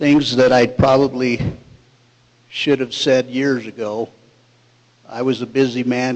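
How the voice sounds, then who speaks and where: A man's medium-pitched voice, monotone and flat, at a fairly slow pace against noticeable background noise. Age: 60s. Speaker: resident speaking at public hearing. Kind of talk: public comment.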